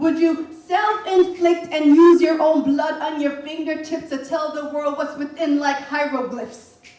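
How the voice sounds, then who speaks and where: Over noticeable background noise, a woman speaks at a high pitch with ordinary pitch variation. Her pace is moderate. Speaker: spoken word poet. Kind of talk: spoken word poetry performance.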